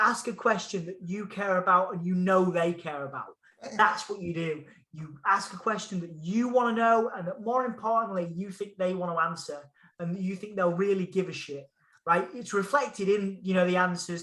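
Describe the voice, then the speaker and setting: An animated, bright, sharp man's voice, high in pitch, raised and projected, with big swings in loudness at a moderate pace. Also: ordinary pitch variation. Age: 30s. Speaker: music journalist and interviewer. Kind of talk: casual chat.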